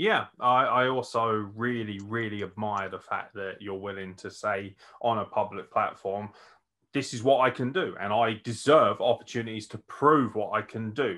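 A man with a British accent, medium in pitch, moderate in pace, ordinary pitch variation and big swings in loudness. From England. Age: 30s. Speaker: podcast host and wrestler; podcast host. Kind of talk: podcast interview. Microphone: video call.

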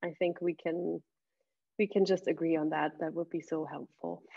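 Her pitch fairly low and her intonation fairly even, a woman speaks. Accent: German. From Germany. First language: German. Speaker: university admissions coordinator. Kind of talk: moderated panel discussion. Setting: video call.

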